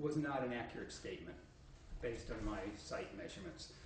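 A man speaks over light background noise. His voice carries an audible room echo. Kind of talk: public meeting statement. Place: meeting room. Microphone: podium.

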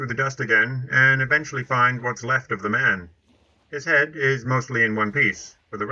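What comes through here is an unforced reading voice.

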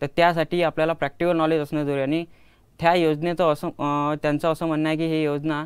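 A man with a fairly high pitch speaks in a monotone, flat way against a quiet background. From Ashti, Vidarbha, Maharashtra; Maharashtra. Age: 20s. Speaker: student inventor; guest. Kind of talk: interview. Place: studio. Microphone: lapel.

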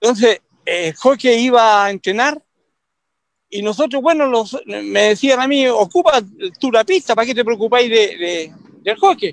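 Speaking at a fairly slow pace with lively intonation, a man uses an extremely high pitch. The background is quiet and the sound is dry, with no echo. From Chile, Concepción. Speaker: veteran roller speed skating coach. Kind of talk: interview, reminiscing. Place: street. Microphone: video call.

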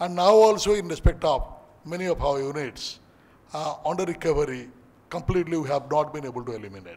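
Lively intonation at a fairly quick pace. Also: man. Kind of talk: formal speech. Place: hall. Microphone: podium.

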